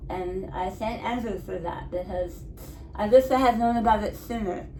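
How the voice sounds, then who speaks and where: A woman with a fairly high pitch talks at a moderate pace, with ordinary pitch variation and big swings in loudness. Noticeable background noise and audible room echo come through. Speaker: head and neck cancer survivor, channel host. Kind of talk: interview.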